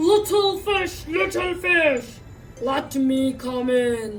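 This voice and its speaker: A woman uses a put-on character voice, high-pitched and growling. She speaks at a very slow pace over clear music in the background. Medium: read story. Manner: growly, menacing.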